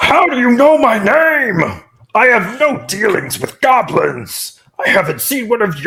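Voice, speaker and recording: Someone performs a put-on character voice at a fairly high pitch and a moderate pace. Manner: suspicious, wary.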